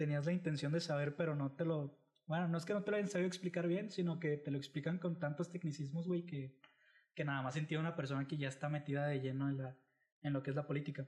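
A somewhat breathy man speaks at a very fast pace with a fairly high pitch. His loudness stays very even and his intonation fairly even. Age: 20s. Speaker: podcast host. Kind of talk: casual chat.

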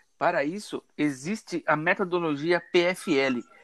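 A man's high-pitched voice with ordinary pitch variation, in a dry, close sound with no echo. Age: 20s. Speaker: engineering student. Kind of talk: student class presentation.

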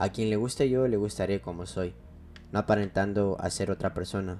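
A man's voice, fairly low in pitch with a dark, mellow tone, moves along at a moderate pace. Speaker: podcast host and DJ. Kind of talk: personal monologue.

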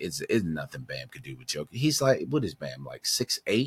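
A man with vocal fry and very wide pitch swings at a moderate pace, in a dry, close sound with no echo. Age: 50s. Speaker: sports podcast co-host. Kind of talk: casual sports chat.

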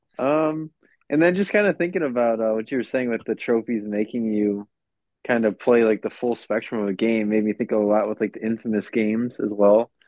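A man with an ordinary speaking voice, medium pitch, ordinary pitch variation, and a fairly quick pace. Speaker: podcast co-host. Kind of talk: casual chat. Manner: joking.

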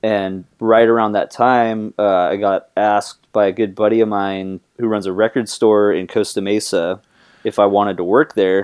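In a fairly low pitch, a man speaks with monotone, flat intonation. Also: moderate pace. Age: 20s. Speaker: guitarist and singer. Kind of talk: casual chat.

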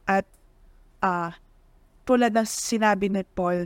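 Speaking fairly slowly, a woman at a medium pitch keeps her intonation fairly even on a very clean recording with a silent background. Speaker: podcast co-host. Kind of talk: casual chat. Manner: loud.

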